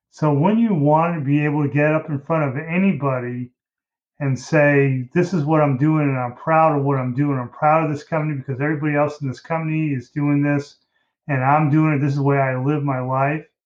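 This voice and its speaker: A man talks at a fairly quick pace in a plain, everyday voice. His pitch sits fairly high, with fairly even intonation. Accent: American. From US Midwest, Detroit, Michigan. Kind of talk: interview conversation.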